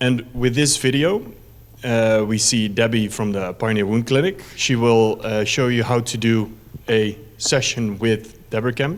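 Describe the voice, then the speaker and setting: A man's medium-pitched voice in a Dutch accent, fairly slow and fairly even in intonation. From Netherlands. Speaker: company representative presenting a medical product. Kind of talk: conference presentation. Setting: conference stage. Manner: hesitant, many fillers.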